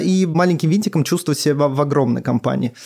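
His pitch is on the fairly high side. The man rattles along at a very fast pace. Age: 30s. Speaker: auditor at a consumer goods company. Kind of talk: podcast discussion.

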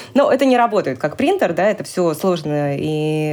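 With background noise clearly present, the woman talks at a moderate speed, her pitch shifting in an ordinary way. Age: 40s. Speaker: mother sharing personal story. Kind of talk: personal testimony in interview. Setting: studio.

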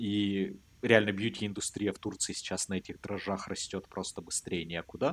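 Speaking at a moderate pace with fairly even intonation, a man with a fairly low pitch and an unremarkable speaking voice is heard on a very clean recording with a silent background. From Russia. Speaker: podcast co-host. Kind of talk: casual chat.

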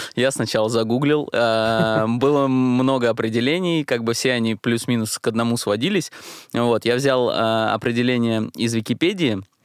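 A man with an unremarkable speaking voice talks at a moderate pace and medium pitch, with ordinary pitch variation. His loudness is very even, and the recording is very clean with a silent background. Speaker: podcast co-host. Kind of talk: casual podcast chat.

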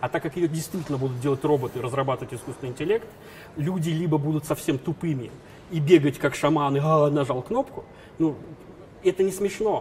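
Fairly quick, fairly high-pitched male speech broken by long, frequent pauses, its pitch varying in an ordinary way. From former Soviet Union. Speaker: business trainer. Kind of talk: interview.

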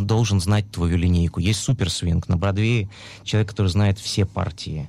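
A man with a plain, everyday voice speaks fairly slowly at a fairly low pitch, his intonation fairly even and his loudness very even. The recording is very clean, with a silent background. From Russia, Urals. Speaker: musical theatre actor. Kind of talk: interview. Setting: studio.

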